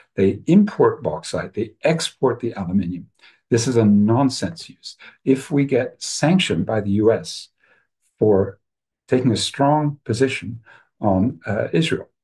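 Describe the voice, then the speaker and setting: Against a quiet background, a man with an American accent speaks fairly slowly at a medium pitch, his tone dark and mellow. His voice is somewhat breathy, and his intonation is lively. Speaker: professor and webinar speaker. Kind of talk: webinar talk. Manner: animated.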